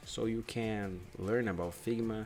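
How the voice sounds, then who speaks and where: A man speaks with a Brazilian Portuguese accent. His pitch varies in an ordinary way. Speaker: UX/UI designer. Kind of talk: tutorial. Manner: halting; casual.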